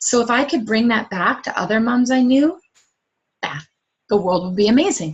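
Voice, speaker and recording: A woman with a fairly high, somewhat breathy voice speaks with lively intonation. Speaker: fitness coach. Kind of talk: webinar presentation. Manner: fast; animated.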